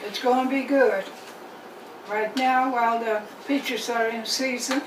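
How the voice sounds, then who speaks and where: A woman speaks at a high pitch in monotone, flat intonation. Noticeable background noise runs underneath. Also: fairly slow pace. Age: 90s. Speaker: home cook, cooking video host. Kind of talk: cooking demonstration to camera. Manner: friendly, relaxed, conversational.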